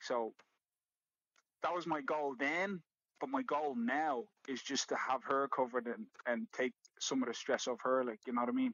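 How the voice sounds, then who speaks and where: Long, frequent pauses mark the speech of a man with an Irish accent, medium in pitch with ordinary pitch variation. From South Africa (Johannesburg, Port Elizabeth). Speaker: MMA fighter. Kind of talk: podcast interview. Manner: repetitive, stammering restarts.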